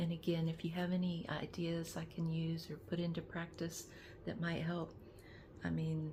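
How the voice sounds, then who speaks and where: A woman with a fairly low pitch and a dark, mellow tone speaks at a moderate pace in a flat, monotone way. Her loudness stays very even, and room echo is audible. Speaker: lifestyle vlogger. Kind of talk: casual vlog talk. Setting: in bed. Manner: halting, many restarts; talkative.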